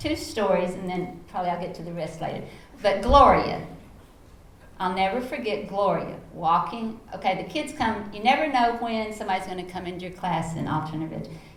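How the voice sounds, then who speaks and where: A woman with a Texas accent talks fairly quickly at a medium pitch, with lively intonation and big swings in loudness. Room echo is audible, and background noise is noticeable. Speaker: educator and foundation founder. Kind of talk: panel talk. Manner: animated.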